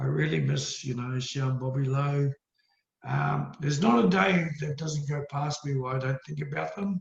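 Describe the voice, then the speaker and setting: A man with an Australian accent speaks at medium pitch with lively intonation. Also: moderate pace. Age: 60s. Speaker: karate master. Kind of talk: casual chat.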